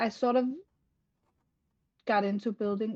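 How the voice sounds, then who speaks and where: In a Danish accent, a woman with a dark, mellow tone speaks at a moderate pace with fairly even intonation, the sound dry and close with no echo. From Denmark. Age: 50s. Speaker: game content creator. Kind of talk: interview. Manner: halting.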